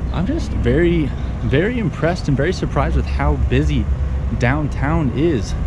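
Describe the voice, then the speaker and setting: Over loud background noise, a man talks at a moderate pace with ordinary pitch variation, in a dry sound with no echo. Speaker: vlogger. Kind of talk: casual vlog chat. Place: street. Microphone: phone near.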